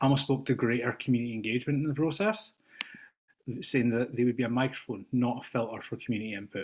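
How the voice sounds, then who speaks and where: A Scottish accent marks a man's very fast speech, set at a medium pitch with fairly even intonation. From Scotland. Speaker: teacher, public commenter. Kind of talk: public comment at board meeting. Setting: video call.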